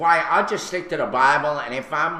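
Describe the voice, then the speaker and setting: In a room with audible echo, a man with a Brooklyn accent speaks in a bright, sharp tone with ordinary pitch variation. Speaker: radio host. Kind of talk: casual chat.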